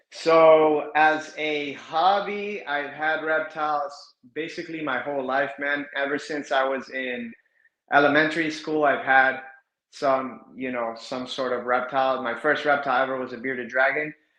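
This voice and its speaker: Audible room echo surrounds a man with an American accent whose fairly high voice keeps a fairly even intonation. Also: moderate pace. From South Florida. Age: 30s. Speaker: reptile breeder. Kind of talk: podcast interview.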